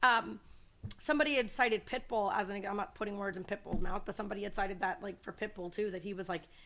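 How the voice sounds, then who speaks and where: Loud and at a very fast pace, a woman with an American accent speaks in an animated, bright, sharp tone. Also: medium pitch for a woman, ordinary pitch variation. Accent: sounds very American. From Miami, Florida (Kendall). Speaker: comedian. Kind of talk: casual chat.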